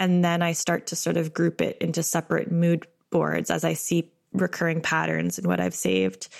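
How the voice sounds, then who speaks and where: At a moderate pace, a woman speaks in a Canadian accent. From Canada, Ottawa. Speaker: book designer and writer. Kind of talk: interview conversation.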